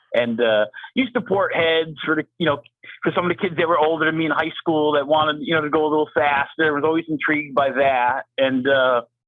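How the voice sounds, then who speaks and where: A man with an American accent, fairly high in pitch, very fast, with ordinary pitch variation and very even loudness. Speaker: engine builder, shop owner. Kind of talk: interview.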